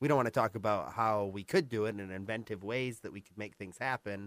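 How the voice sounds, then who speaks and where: In an American accent, a man with an unremarkable speaking voice talks fairly quickly at a fairly low pitch, captured in a very clean recording with a silent background. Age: 20s. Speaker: school board candidate. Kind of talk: radio interview. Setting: radio studio.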